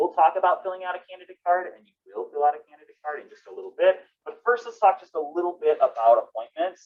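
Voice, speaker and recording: Very fast delivery in an American accent, with hardly any pauses and big swings in loudness. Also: man. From northern US. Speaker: university fellowships advisor. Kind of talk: orientation presentation.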